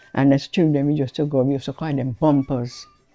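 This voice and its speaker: A woman speaks in a very deep, low voice over music playing in the background. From St Kitts, Basseterre area. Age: 70s. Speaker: storyteller. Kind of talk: interview storytelling. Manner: halting.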